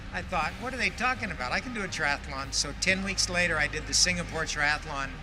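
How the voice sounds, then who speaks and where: Music runs in the background. The man talks at a fairly quick pace. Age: 70s. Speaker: triathlete. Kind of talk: interview.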